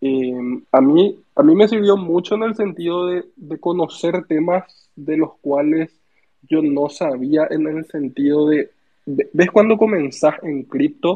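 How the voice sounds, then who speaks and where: The voice belongs to a man with fairly high pitch. He speaks very slowly. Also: ordinary pitch variation. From Paraguay, Asunción. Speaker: community member. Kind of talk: casual interview.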